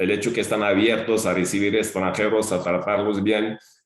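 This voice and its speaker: With audible room echo, a man talks at a moderate pace in a monotone, flat intonation. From Algeria. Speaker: retired teacher and school director. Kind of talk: interview. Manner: halting, many fillers and repetitions.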